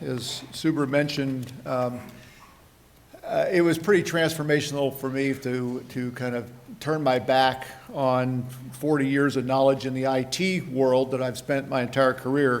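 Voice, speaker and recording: Fairly slow and fairly even in intonation, a man's medium-pitched speech sits against noticeable background noise. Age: 60s. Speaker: panel moderator. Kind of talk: panel introduction. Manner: halting, many fillers.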